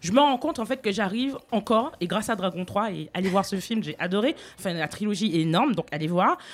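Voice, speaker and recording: An ordinary speaking voice from a woman, medium in pitch, with lively intonation and a fairly quick pace. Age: 30s. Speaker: radio host. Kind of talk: casual chat.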